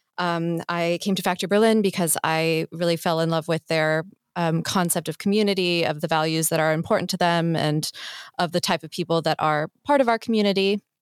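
In a plain, everyday voice with an American accent, a woman with a fairly low pitch and ordinary pitch variation talks at a fairly quick pace with very even loudness, on a very clean recording with a silent background and a dry, close sound with no echo. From US. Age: 20s. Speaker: startup mentorship program manager. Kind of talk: interview. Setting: studio.

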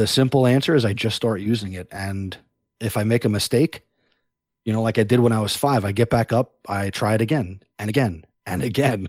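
Recorded with a dry, close sound and no echo on a very clean recording with a silent background, a man talks at a fairly quick pace with a medium pitch and ordinary pitch variation. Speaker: teacher and education podcaster. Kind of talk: interview. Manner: animated, talks with hands.

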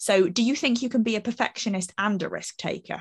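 Against a quiet background, a woman speaks at a moderate pace in a somewhat breathy voice with ordinary pitch variation. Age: 30s. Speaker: marketing manager. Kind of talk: casual chat. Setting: video call with live audience.

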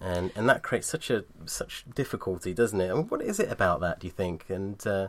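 Speaking with a British accent, a man uses lively intonation at a moderate pace. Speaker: podcast host. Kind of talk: interview.

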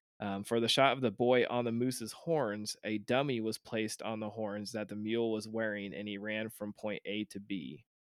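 This man has an ordinary speaking voice with a fairly low pitch, talking at a moderate pace with fairly even intonation and hardly any pauses, in a dry, close sound with no echo. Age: 30s. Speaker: podcast host. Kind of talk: reading aloud; casual chat.

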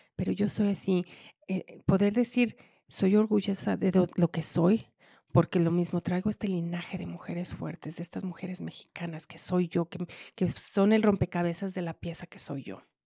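Somewhat breathy and dark, mellow in tone, a woman with a fairly low pitch speaks at a moderate pace with fairly even intonation and big swings in loudness, the sound dry and close with no echo. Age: young. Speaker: construction industry leader. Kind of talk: interview.

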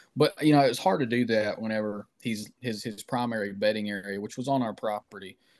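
At a fairly quick pace, a man uses a normal speaking voice at a medium pitch with fairly even intonation, over a quiet background. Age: 30s. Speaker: outdoor writer and whitetail hunter. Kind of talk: casual interview.

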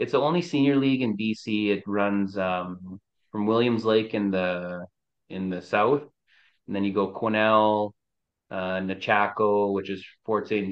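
With an unremarkable speaking voice, a man talks at a fairly slow pace, his pitch fairly low and ordinary in its variation. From British Columbia, Canada (First Nations reserve). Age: 30s. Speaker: First Nations chief and senior hockey goalie. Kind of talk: casual chat.

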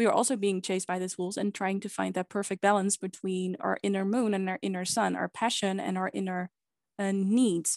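In a Dutch accent, the speaker talks at a fairly quick pace with a monotone, flat intonation, with a dry, close sound with no echo against a quiet background. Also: woman, medium pitch for a woman. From Netherlands. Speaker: podcast guest, pagan practitioner. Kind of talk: casual chat.

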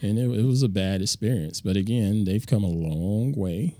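This man speaks with a Southern US accent and lively intonation. His voice is fairly low in pitch with a dark, mellow tone. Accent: Southern drawl. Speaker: photographer and tech podcast host. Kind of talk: interview. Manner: smooth.

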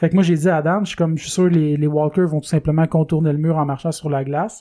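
In a very clean recording with a silent background, a man speaks with a Quebec accent and fairly even intonation. His high-pitched voice carries a dark, mellow tone. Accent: Québécois French. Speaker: podcast host. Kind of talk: casual chat. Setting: studio.

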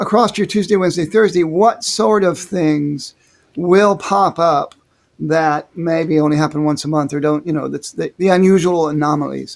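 A man with a plain, everyday voice speaks at a moderate pace, his pitch fairly high with ordinary pitch variation. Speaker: podcast host, writer. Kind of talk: casual chat, interview.

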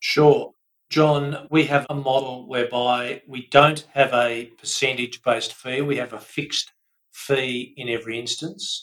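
In an Australian accent, a man of medium pitch speaks fairly slowly in a flat monotone, his loudness swinging widely. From Australia, Melbourne. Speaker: buyer's advocate. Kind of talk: interview.

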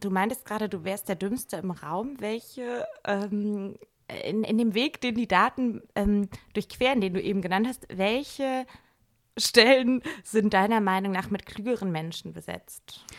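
Her pace is fairly slow as this woman talks. She speaks at medium pitch with ordinary pitch variation. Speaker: physician and journalist. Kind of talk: casual chat. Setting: home living room. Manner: energetic.

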